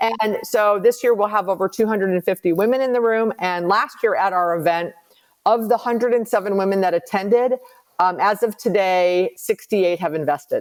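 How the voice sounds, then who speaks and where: Using an ordinary speaking voice, a woman talks fairly quickly at a medium pitch with ordinary pitch variation. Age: 60s. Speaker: commercial real estate investor and advisor. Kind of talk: podcast interview.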